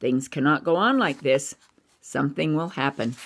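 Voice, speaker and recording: A put-on character voice, raspy and gentle in tone, sits at low-to-middle pitch. It moves at a moderate pace. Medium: read story. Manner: gentle, caring.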